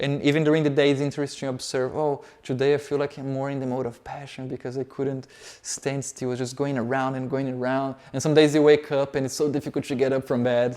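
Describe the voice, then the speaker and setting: A man with a fairly high voice and a dark, mellow tone speaks at a very fast pace with hardly any pauses. His intonation is monotone and flat. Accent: Portuguese. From Brazil. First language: Portuguese. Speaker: yoga teacher. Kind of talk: lecture.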